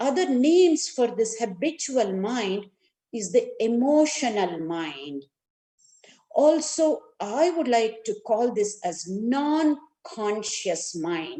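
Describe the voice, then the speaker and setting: With a South Indian accent, a woman speaks very slowly in a fairly high, dark, mellow voice that makes very wide pitch swings. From India, Karnataka. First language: Kannada. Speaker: neuroscience and yoga educator. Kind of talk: lecture.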